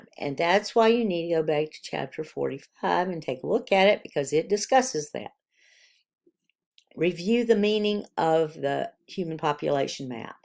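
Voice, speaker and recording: A woman speaks at a moderate pace in a plain, everyday voice, fairly low in pitch with lively intonation and big swings in loudness. The recording is very clean, with a silent background. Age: 60s. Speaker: college biology instructor. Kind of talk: recorded course announcements.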